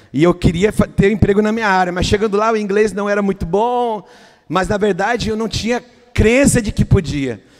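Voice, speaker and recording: A man with a Brazilian accent speaks at a moderate pace in a high voice, his pitch varying in an ordinary way over noticeable background noise. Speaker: pastor. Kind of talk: sermon. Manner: halting, repeats words.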